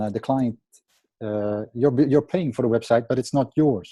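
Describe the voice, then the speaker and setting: A man with a Dutch accent talks at a moderate pace and medium pitch in a dark, mellow tone. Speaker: website conversion optimizer. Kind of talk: group coaching call presentation. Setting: video call. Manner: halting, many fillers.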